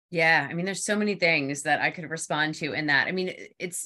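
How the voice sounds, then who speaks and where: A woman speaks in a Philadelphia accent at a moderate pace. Her tone is bright and sharp. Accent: Philadelphia area. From Philadelphia area, US East Coast. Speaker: PR consultant. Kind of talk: casual interview chat.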